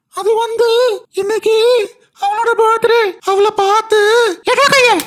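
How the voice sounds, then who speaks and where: A cartoonish character voice sounds squeaky at an extremely high pitch. It moves at a fairly slow pace with monotone, flat intonation. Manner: eager, chatty.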